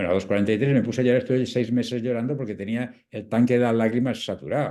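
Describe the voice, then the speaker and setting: A man with a medium pitch, a dark, mellow tone and vocal fry, speaking at a fairly quick pace against a quiet background. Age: 70s. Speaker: palliative care doctor and author. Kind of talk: interview talk.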